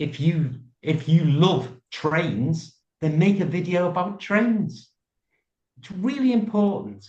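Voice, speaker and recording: A man with a British accent speaks at a very slow pace. His intonation is lively. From UK. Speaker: YouTuber. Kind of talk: interview answer.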